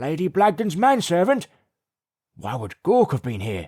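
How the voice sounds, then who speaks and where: Putting on a character voice, a man speaks in a high, raspy pitch with very wide pitch swings, the sound dry and close with no echo. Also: moderate pace. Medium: read story.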